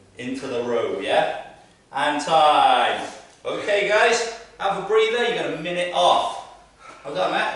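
A man's voice at a fairly slow pace, with strong room echo. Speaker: fitness coach. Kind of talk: workout instruction. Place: gym.

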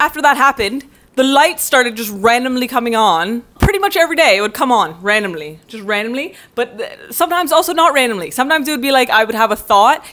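At a very fast pace, a woman speaks in a high pitch with very wide swings. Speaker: vlogger. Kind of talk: casual vlog chat. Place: home room. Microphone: earbuds.

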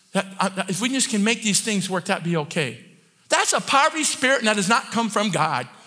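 A man's raised, projected voice, high in pitch, with very wide pitch swings and big swings in loudness. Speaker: preacher. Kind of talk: sermon. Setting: church with congregation. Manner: fast talker; animated, loud at times. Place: church. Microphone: headset.

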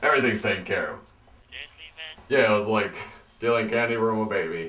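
A man puts on a character voice at medium pitch and a fairly quick pace. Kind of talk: casual street slang.

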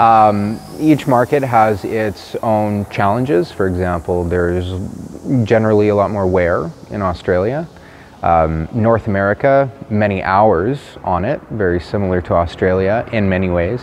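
A man speaks at a fairly slow pace in a plain, everyday voice, fairly low in pitch with ordinary pitch variation. Light background noise sits behind him. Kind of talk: interview answer. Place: garage. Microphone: lapel.

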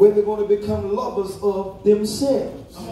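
A man speaks at a fairly slow pace in a high voice for a man. The room echoes audibly, with light background noise. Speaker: preacher. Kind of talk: sermon. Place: church. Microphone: phone near.

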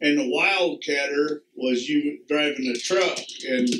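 A man speaks in a fairly high pitch. Room echo can be heard around his voice. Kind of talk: family interview questions. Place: home room.

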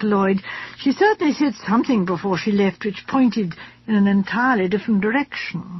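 This is a natural reading voice. It carries the words as written.

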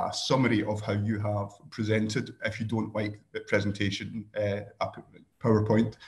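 A somewhat breathy man's voice, fairly low in pitch, in a Scottish accent. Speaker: presenter in an online training session. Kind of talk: casual, jokey presenting. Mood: light, joking. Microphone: webcam.

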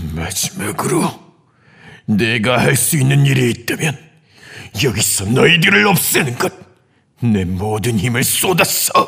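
In a put-on character voice, a man speaks at a medium pitch. He goes at a fairly slow pace with long, frequent pauses. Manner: frantic, desperate.

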